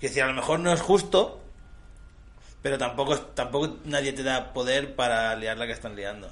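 Medium-pitched male voice with vocal fry, at a moderate pace. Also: ordinary pitch variation. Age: 20s. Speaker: community radio co-host. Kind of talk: casual chat.

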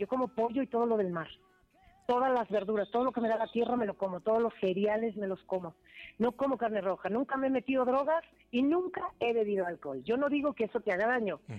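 An animated woman at a very fast pace, fairly high in pitch, her intonation lively. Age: 50s. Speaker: singer. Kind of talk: interview.

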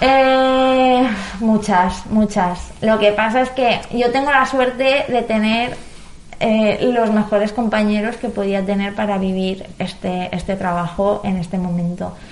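A woman speaks at a very slow pace, her pitch fairly high with ordinary variation. The room echo is audible, and background noise is noticeable. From Valencia region, Spain. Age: 20s. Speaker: biotechnologist. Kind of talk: interview.

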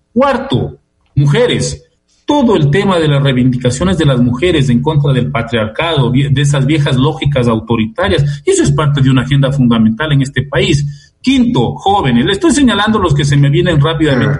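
An ordinary speaking voice from a man, fairly high in pitch, with lively intonation and very even loudness. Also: moderate pace. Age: 60s. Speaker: sociologist and political analyst. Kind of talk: radio interview. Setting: remote call from home.

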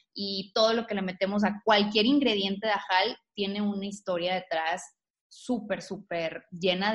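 A woman's voice, slightly breathy, its intonation mostly level. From Tamaulipas, northeastern Mexico. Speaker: natural cosmetics entrepreneur. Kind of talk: interview.

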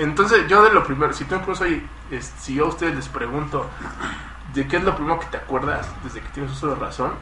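A man with a Mexican accent speaks very fast, his loudness swinging widely. Room echo is audible, along with noticeable background noise. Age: 20s. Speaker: podcast guest. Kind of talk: casual chat. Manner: halting.

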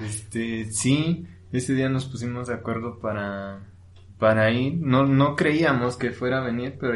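With audible room echo, a man in a central Mexican accent talks at a medium pitch. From Mexico, Hidalgo (Actopan). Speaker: podcaster. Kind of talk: casual chat. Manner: halting.

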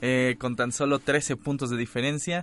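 A man is speaking. His pace is very slow. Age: 20s. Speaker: university radio host. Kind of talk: casual radio chat. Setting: radio studio. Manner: animated.

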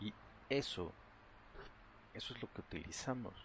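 The man sounds somewhat breathy as he talks. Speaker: meditation guide. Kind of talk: guided meditation. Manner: halting.

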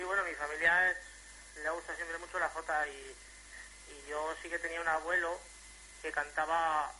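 A man with a fairly high pitch talks in a monotone, flat intonation against noticeable background noise. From Jérica, Valencian region bordering Teruel, Spain. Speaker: jota folk singer. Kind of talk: radio interview.

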